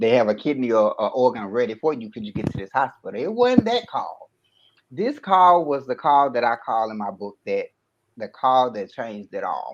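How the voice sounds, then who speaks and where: A man with a medium pitch talks at a moderate pace with lively intonation. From US South, Memphis, Tennessee. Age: 30s. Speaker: kidney transplant recipient and author. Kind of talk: personal testimony in interview. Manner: casual storytelling.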